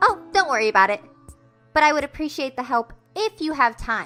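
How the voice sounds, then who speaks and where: A woman speaks in a high-pitched, put-on character voice at a fairly quick pace while faint music plays in the background. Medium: audio drama. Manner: casual, friendly.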